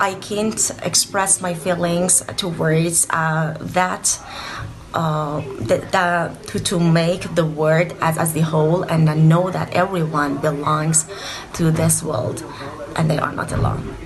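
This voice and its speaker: Over noticeable background noise and audible room echo, a woman with a Persian accent speaks at a very slow pace in monotone, flat intonation and a fairly low pitch. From Iran. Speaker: PhD student. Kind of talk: recorded voice message. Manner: halting.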